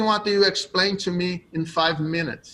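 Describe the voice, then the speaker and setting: A man speaks in a raised, projected voice with a Brazilian accent. His pitch variation is ordinary. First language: Portuguese. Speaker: jiu-jitsu coach. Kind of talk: interview.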